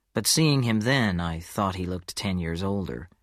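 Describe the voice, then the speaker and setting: In a very clean recording with a silent background, a man talks in an ordinary speaking voice, fairly low in pitch, at a fairly slow pace with ordinary pitch variation. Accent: American. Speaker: audiobook narrator. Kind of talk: audiobook reading of a crime story.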